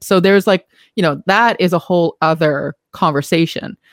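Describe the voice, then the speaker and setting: In a very clean recording with a silent background and a dry, close sound without echo, a woman with a normal speaking voice and a fairly low pitch talks at a moderate pace with fairly even intonation. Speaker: podcast host and company CEO. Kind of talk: casual chat.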